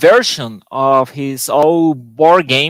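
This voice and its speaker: A Spanish accent at a very slow pace with ordinary pitch variation. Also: man. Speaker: board game designer. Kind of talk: panel discussion. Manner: halting.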